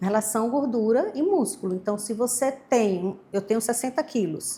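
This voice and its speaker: A woman speaks with a Maceió accent in a fairly high voice for a woman. Her tone is dark and mellow, and her intonation is lively. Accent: northeastern Brazilian (Maceió). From Brazil, Maceió (Alagoas, Northeast). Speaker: nutritionist. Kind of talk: interview.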